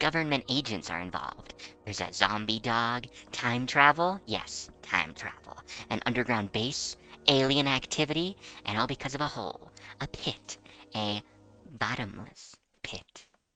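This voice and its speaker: A put-on character voice at low-to-middle pitch and moderate pace, broken by long, frequent pauses. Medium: read story. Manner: deadpan, sardonic.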